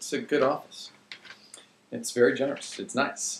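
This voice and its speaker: This man talks at a moderate pace. Noticeable background noise and audible room echo are present. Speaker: pastor / preacher video blogger. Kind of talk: casual video blog talk about a sermon. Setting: office, speaking to computer camera.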